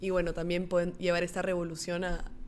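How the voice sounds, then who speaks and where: A woman with a fairly low voice talks at a moderate pace, with audible room echo. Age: 20s. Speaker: entrepreneur, clothing brand founder. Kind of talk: casual interview.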